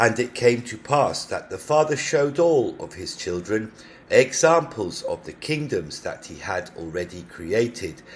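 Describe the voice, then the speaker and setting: This man's somewhat breathy voice sits at medium pitch but makes very wide pitch swings and big swings in loudness. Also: fairly slow pace. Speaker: amateur audiobook narrator. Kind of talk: scripture audiobook reading. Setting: home recording.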